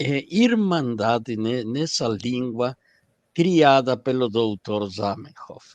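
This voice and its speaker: Very slow, lively intonation in a Spanish accent against a quiet background. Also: man. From Argentina, Buenos Aires. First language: Spanish (speaking Portuguese). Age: 60s. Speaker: esperanto lecturer. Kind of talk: lecture. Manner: halting.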